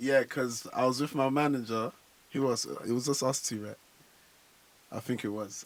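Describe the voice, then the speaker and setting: Speaking with a London accent, a man keeps his intonation fairly even. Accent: London accent, kept unchanged. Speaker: afrobeats artist. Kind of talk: radio interview. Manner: casual, relaxed.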